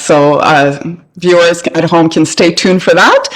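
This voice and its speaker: The speaker has a Canadian accent. Noticeable background noise runs underneath. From Canada. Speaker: podcast host. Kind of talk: interview.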